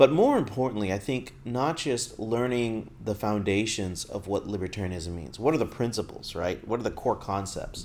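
Barely pausing, a man talks at a moderate pace with a medium pitch and ordinary pitch variation. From Texas. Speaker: podcast host. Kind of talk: casual monologue.

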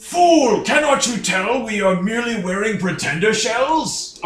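At a moderate pace, a man puts on a high-pitched character voice, with a slight echo around it. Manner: scolding, theatrical.

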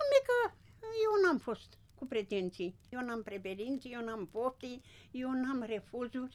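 A woman's high voice, very slow and lively in intonation, with big swings in loudness. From Romania, Bărăgan plain, Brăila county. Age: 80s+. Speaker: retired farm worker. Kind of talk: life-story interview. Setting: village home by the fire.

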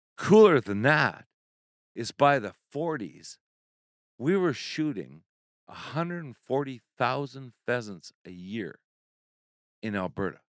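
At a very slow pace with long, frequent pauses, a man's pitch swings very widely, recorded with a dry, close sound and no echo. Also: medium pitch for a man, big swings in loudness. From Saskatchewan, Canada. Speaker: conservation group president. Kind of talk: casual chat.

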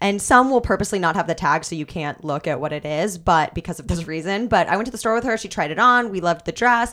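Bright and sharp in tone, a woman talks very fast with lively intonation and a Midwestern accent. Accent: general American, Midwestern. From US Midwest. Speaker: news anchor. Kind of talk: casual chat.

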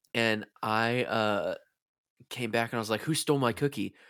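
On a very clean recording with a silent background, a man talks at a moderate pace in a normal speaking voice. His pitch is medium, with ordinary pitch variation. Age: 20s. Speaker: podcast host. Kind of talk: casual chat.

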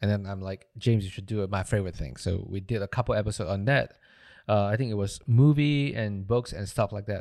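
On a very clean recording with a silent background, a man speaks fairly quickly at a fairly low pitch with ordinary pitch variation. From Malaysia. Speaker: audio engineer and podcast producer. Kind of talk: casual interview chat. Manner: halting, with fillers and repeated words.

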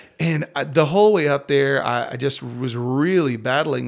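A man with a West Texas accent speaks at a fairly high pitch with ordinary pitch variation. The recording is very clean, with a silent background. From rural West Texas, near Crosbyton. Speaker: worship pastor. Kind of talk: casual interview.

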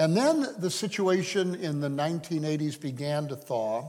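A man's fairly high voice with an American accent, fairly slow, with ordinary pitch variation and audible room echo. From US, Hungarian American home. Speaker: missionary. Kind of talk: sermon. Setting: church.

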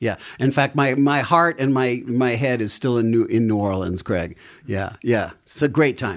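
In a plain, everyday voice, a man speaks at a moderate pace with ordinary pitch variation. The recording is very clean, with a silent background. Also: medium pitch for a man. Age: 50s. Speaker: musician. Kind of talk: casual chat.

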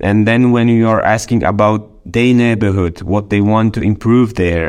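This man talks in a fairly low register, keeping his intonation fairly even. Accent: Polish. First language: Polish. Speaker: deputy mayor. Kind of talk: interview. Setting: remote call. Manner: halting.

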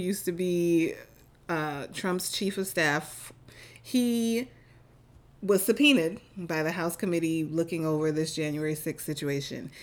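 A woman speaks at medium pitch and a fairly slow pace, with lively intonation, in a plain, everyday voice. The recording is very clean, with a silent background. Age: 40s. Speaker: podcast co-host. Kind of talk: casual chat.

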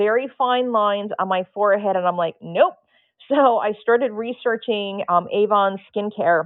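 A woman speaks in an ordinary speaking voice at a medium pitch. Her pitch varies in an ordinary way, and her pace is moderate. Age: 50s. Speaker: nude model. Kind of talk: casual chat.

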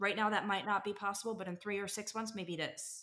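Bright and sharp in tone, a woman speaks at a medium pitch. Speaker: paramedic and EMS captain. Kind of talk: interview.

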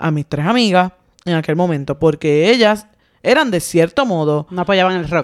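With lively intonation and a fairly low pitch, a woman talks at a moderate pace in a plain, everyday voice. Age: 40s. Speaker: podcast co-host. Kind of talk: casual chat.

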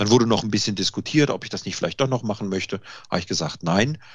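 A man speaks with ordinary pitch variation. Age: 50s. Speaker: IT consultant and home cook. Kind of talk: casual interview.

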